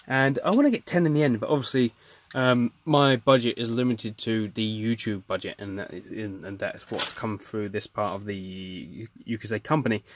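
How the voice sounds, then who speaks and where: In a dry, close recording with no echo, a man with a medium pitch talks in a plain, everyday voice at a moderate pace, with ordinary pitch variation and hardly any pauses. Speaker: electronics hobbyist. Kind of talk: casual talk to camera.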